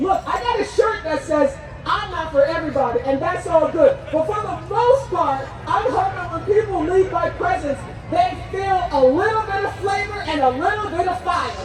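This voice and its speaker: A woman with an American accent speaks at an extremely high pitch and a moderate pace, animated in tone with lively intonation. Crowd noise sits in the background, and the room echo is audible. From New Jersey. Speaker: rally emcee and motivational speaker. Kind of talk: rally speech to a crowd. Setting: outdoor rally with audience.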